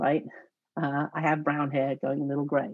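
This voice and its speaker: A woman speaks with a southern English accent at a very deep, low pitch. The sound is dry with no echo, over a quiet background. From southeast England. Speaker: church network organizer; guest. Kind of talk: interview conversation. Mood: calm, explanatory. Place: home room. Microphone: video call.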